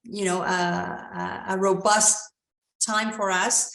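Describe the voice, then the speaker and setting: In a Spanish accent, a woman talks at a fairly slow pace and medium pitch with monotone, flat intonation, and room echo is audible. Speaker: company CEO. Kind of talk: investor Q&A. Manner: hesitant with fillers.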